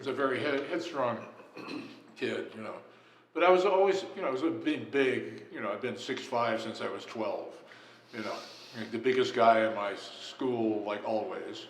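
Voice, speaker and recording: A man with an American accent speaks at a moderate pace and medium pitch, his intonation lively, with long, frequent pauses, noticeable background noise and audible room echo. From Los Angeles, California. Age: 70s. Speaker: jazz musician. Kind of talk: interview. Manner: casual, hesitant with many fillers.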